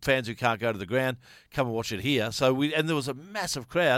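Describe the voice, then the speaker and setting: Speaking at a fairly quick pace in an Australian accent, a man uses lively intonation on a very clean recording with a silent background. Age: 50s. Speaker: sports podcast co-host. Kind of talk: casual chat.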